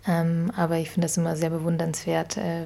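A woman's fairly low, somewhat breathy voice. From Ukraine (Kyiv), then Augsburg, Germany from age 12. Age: 20s. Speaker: founder of a social mobility network. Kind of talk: interview. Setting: living room. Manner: frequent hesitations (ähm, äh).

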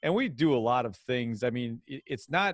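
A man's medium-pitched voice with lively intonation against a quiet background. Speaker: school superintendent. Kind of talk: interview. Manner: loud.

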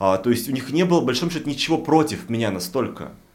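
Lively intonation marks this man's speech, which carries audible room echo. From Russian provinces. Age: 40s. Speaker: podcast co-host. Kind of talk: casual chat.

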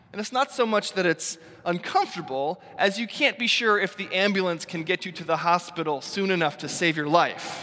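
A man talks at a fairly quick pace and a high pitch, with ordinary pitch variation. He leaves hardly any pauses, and there is noticeable background noise. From US Northeast. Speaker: pastor. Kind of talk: sermon.

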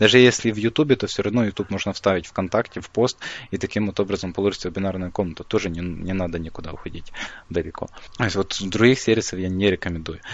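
Talking at a very fast pace, a man uses ordinary pitch variation in a fairly low voice. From Ukraine. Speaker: online marketing developer. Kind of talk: interview.

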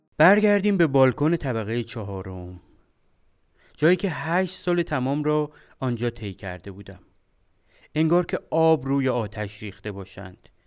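On a very clean recording with a silent background, a man at medium pitch talks at a moderate pace with very wide pitch swings and long, frequent pauses. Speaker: podcast host, computer engineer. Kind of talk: storytelling narration.

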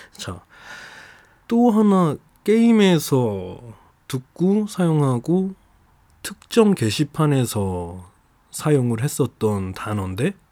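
This dark, mellow voice moves in very wide pitch swings, on a very clean recording with a silent background. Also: man. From Jeju Island, South Korea. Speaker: podcast host. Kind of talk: casual solo podcast monologue. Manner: chatty, laughs often, rambling.

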